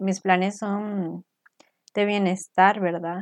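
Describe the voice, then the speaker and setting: A woman at medium pitch speaks very slowly in monotone, flat intonation. The sound is dry and close with no echo, and the background is quiet. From Costa Rica. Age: 20s. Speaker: podcast co-host. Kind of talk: casual faith chat.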